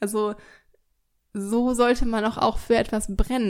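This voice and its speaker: A woman's fairly high voice, monotone with flat intonation, at a moderate pace. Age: 20s. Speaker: podcast host, dog coach. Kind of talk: solo monologue, reflective. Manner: casual, many filler sounds.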